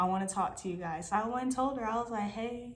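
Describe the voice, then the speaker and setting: A woman's fairly high, animated voice at a moderate pace, with ordinary pitch variation, audible room echo and noticeable background noise. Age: 20s. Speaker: army combat medic. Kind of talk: storytime.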